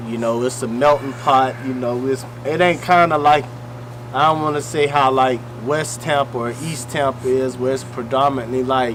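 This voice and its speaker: Noticeable background noise accompanies a man whose intonation stays fairly even. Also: medium pitch for a man, moderate pace. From US South (Greenwood, Mississippi). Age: 30s. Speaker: battle rapper. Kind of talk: casual interview.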